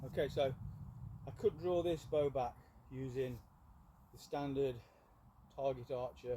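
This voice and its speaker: A somewhat breathy, dark, mellow voice at a fairly slow pace, with fairly even intonation, big swings in loudness, and long, frequent pauses. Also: man, medium pitch for a man. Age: 60s. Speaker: archer and bowyer. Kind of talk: tutorial. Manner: halting.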